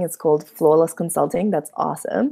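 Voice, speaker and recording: On a very clean recording with a silent background, a woman with a Russian accent has a dark, mellow tone. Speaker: YouTuber teaching coding. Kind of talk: livestream chat with viewers. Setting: livestream on YouTube and Instagram. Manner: hesitant, many fillers.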